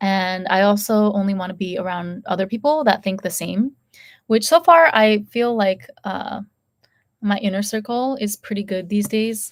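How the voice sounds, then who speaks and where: A woman's plain, everyday voice with an American accent, medium pitch, ordinary pitch variation and a moderate pace. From United States. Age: 30s. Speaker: YouTuber. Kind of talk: casual chat. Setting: live stream.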